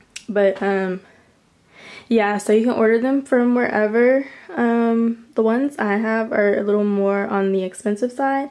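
A woman's fairly high voice, fairly slow, with fairly even intonation and very even loudness. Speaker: lifestyle vlogger. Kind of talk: casual room tour vlog. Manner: filler-heavy, chatty. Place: home room. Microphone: phone near.

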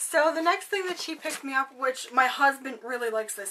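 A woman with a high pitch speaks in a raised, projected voice at a fairly quick pace. Her intonation is lively, and there is noticeable background noise. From Canada. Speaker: beauty vlogger. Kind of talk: casual vlog, unboxing. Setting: bedroom at home, recording alone. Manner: chatty, friendly.

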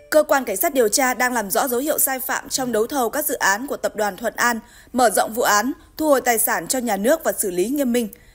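This woman talks at a very fast pace in a high pitch. Her pitch variation is ordinary. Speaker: news anchor. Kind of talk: news reading. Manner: formal.

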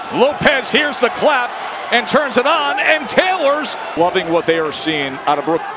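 A man speaks in a raised, projected voice at an extremely high pitch, with very wide pitch swings. Noticeable background noise sits behind him. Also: fairly slow pace. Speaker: boxing commentator. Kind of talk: live commentary. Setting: broadcast from arena.

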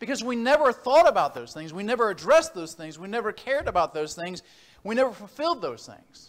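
Fairly quickly, a man talks with very wide pitch swings. The background stays quiet. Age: 40s. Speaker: preacher. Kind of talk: sermon. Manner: halting. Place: church.

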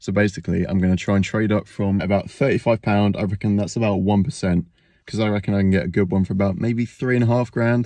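Talking at a very fast pace, a man keeps a fairly low pitch and fairly even intonation. The sound is dry with no echo against a quiet background. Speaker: reseller vlogger. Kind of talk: casual vlog chat. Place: car. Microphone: phone near.

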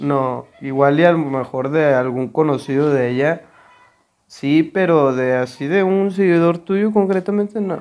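This man's voice sits at a fairly high pitch. His pitch varies an ordinary amount. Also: fairly slow pace. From Mexico. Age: 20s. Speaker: youtuber's husband. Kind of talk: casual chat. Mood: relaxed, joking. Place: home room. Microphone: lapel.

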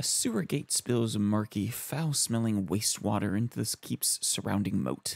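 Reading in an unforced reading voice

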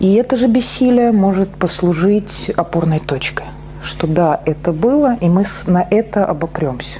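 A woman speaks at a fairly slow pace in a fairly low pitch. Her loudness stays very even, with light background noise behind her. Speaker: psychotherapist; presenter. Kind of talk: lecture. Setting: stage with audience. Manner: halting. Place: meeting room.

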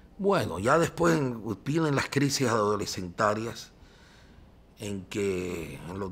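A man speaks with a Cuban accent. His pace is fairly slow. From Cuba, Cienfuegos. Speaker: journalist. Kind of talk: interview.

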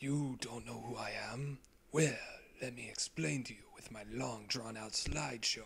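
Against clear background noise, the speaker uses lively intonation at a moderate pace. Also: man, medium pitch for a man. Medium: fan dub. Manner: suspicious, then self-important.

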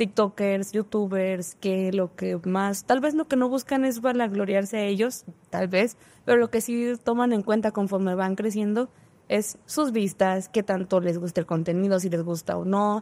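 Speaking at a fairly slow pace, a woman has a dark, mellow tone. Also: ordinary pitch variation. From northern Mexico. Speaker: engineering student; podcast guest. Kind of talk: casual chat. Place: studio. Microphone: studio mic.

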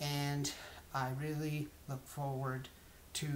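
Speaking very slowly, a man uses monotone, flat intonation with an American accent. Light background noise sits behind him. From US South, Georgia (Lawrenceville). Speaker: college student. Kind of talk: self-introduction monologue. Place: home room. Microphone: webcam.

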